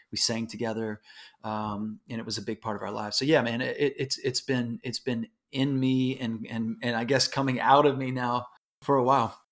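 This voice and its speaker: A man in a Texan accent speaks at a moderate pace and medium pitch in a very clean recording with a silent background. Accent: Texan American English. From Houston, Texas. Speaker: musician and pastor. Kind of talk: casual interview chat. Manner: animated.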